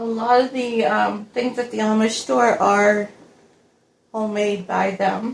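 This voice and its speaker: A woman with an unremarkable speaking voice talks at a fairly slow pace. Her intonation stays fairly even. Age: 50s. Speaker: single mom, grocery haul vlogger. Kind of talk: casual talk to camera.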